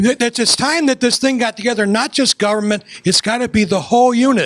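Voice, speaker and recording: A man with an American accent talks at a fairly quick pace, high-pitched and lively in intonation. The sound is dry and close, with no echo. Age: 60s. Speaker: former city councilman. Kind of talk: public meeting comment.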